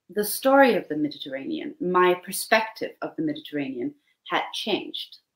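In a quiet background with audible room echo, a woman speaks. Her pitch swings very widely. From Denmark. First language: Danish (speaking Italian). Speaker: novelist; guest. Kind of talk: interview. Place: home room.

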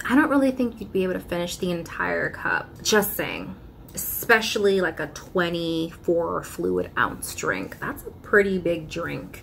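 Light background noise behind a woman speaking at a fairly slow pace. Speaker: YouTuber and customer service worker; YouTuber. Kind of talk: casual vlog talk to camera. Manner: animated. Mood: exasperated, sarcastic, animated. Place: home room. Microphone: phone near.

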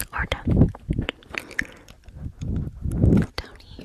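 A soft-spoken woman whispering at a very slow pace, with noticeable background noise. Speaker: ASMR creator. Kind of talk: soft ASMR talk to viewer. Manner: soft close-mic whisper. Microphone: studio mic.

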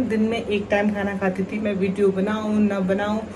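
A woman at a fairly slow pace in a monotone, flat intonation, with noticeable background noise. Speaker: vlogger. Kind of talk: casual vlog chat. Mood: candid, slightly rueful. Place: kitchen. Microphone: phone near.

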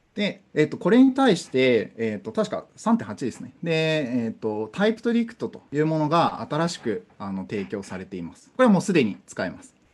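A man talks with hardly any pauses, his loudness swinging widely and his pitch leaping across a very wide range. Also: fairly high pitch for a man, moderate pace. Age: 20s. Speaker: conference speaker on programming; conference speaker. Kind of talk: technical talk. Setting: online conference via Zoom. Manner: hesitant, many fillers.

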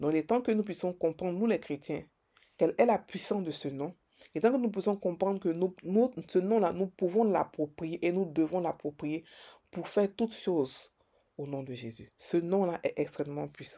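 On a very clean recording with a silent background, a woman with a fairly low pitch speaks at a moderate pace with lively intonation. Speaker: preacher. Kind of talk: devotional sermon-style meditation. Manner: emphatic, repetitive, preacher cadence with Alleluia refrains; fervent, declarative, stumbling repetitions.

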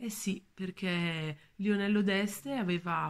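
Somewhat breathy, a woman speaks at a very slow pace. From northern Italy, Valle Imagna near Bergamo; northern Italy. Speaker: museum educator. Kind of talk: art talk. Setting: at home. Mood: warm, calm. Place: home room. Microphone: phone near.

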